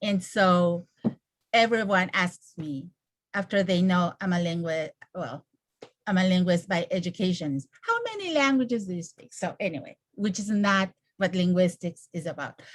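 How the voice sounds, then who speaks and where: A woman speaks with a Spanish accent. Her pitch sits in the medium range. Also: ordinary pitch variation, moderate pace. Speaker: neighborhood council representative. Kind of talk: casual chat.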